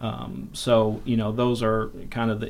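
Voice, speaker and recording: A man with an American accent talks at a moderate pace and medium pitch. His intonation is monotone and flat, and audible room echo surrounds him. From northern Indiana (South Bend). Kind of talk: casual interview.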